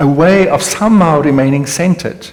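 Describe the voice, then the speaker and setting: A man speaks with a South African accent. Room echo is audible. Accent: Afrikaans South African English. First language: Afrikaans. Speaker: panel speaker on contemplative spirituality. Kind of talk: panel conversation with audience. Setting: hall with live audience. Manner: reflective, some hesitations.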